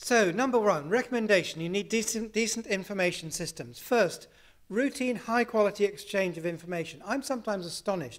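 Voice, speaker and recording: A speaker with a British accent talks at a moderate pace with lively intonation. The recording is very clean, with a silent background. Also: man. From UK. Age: 60s. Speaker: health services researcher. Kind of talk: conference talk.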